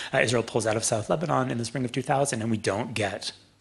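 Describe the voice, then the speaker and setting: A man with a Canadian accent at medium pitch, very fast pace and ordinary pitch variation. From Canada, Toronto. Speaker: author and former journalist. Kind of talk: public talk.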